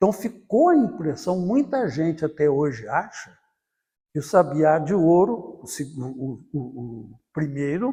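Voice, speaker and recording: Fairly high in pitch, a man speaks very slowly in a dark, mellow tone. His pitch swings very widely. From Brazil, southern Minas Gerais. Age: 80s+. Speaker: journalist and writer. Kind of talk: oral history interview. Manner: halting, with repetitions.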